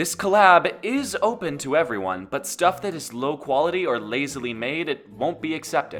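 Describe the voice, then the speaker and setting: A man talks at a moderate pace in a fairly high pitch. Music plays in the background. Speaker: animator running a community collab. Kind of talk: casual instructional talk to viewers. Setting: home microphone, poor quality at start.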